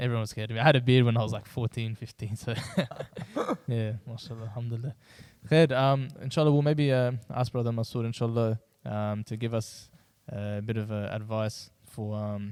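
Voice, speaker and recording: His intonation stays fairly even. The man keeps to a moderate pace. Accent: Australian. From Australia, Adelaide. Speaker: youth podcast host. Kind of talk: casual chat.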